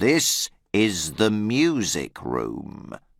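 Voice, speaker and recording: Using a put-on character voice, a man speaks at a fairly low pitch with very wide pitch swings. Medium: read story. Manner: curt, stern.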